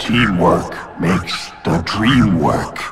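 A man puts on a raspy character voice with a very deep, low pitch. Background noise is clearly heard. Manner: halting, slow.

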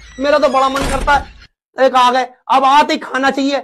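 With light background noise, a woman speaks in a high pitch with fairly even intonation. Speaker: comic skit performer. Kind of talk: comedic monologue, one side of a phone call. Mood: mock complaining about husband. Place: home room. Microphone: phone near.

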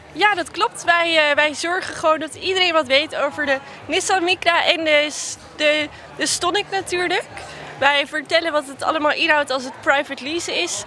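Crowd noise runs behind a woman whose raised, projected voice comes at a moderate pace, dry and with no echo. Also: ordinary pitch variation. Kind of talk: interview answer. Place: market. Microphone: handheld.

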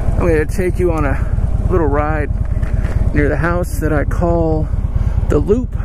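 The speech moves at a fairly slow pace, with a dry sound with no echo and noticeable background noise. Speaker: motorcycle vlogger. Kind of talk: casual vlog chat. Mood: relaxed, cheerful. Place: street. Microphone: helmet.

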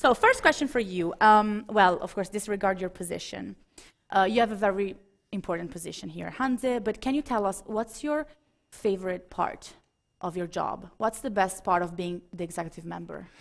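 A woman with an Italian accent, medium pitch, ordinary pitch variation and a moderate pace, over a quiet background. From Italy. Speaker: talk show host. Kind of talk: live talk show. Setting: stage with audience. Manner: animated. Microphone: headset.

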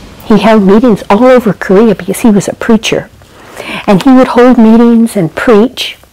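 Moderate in pace, a woman is talking. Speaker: storyteller. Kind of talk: devotional storytelling. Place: home room. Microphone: lapel.

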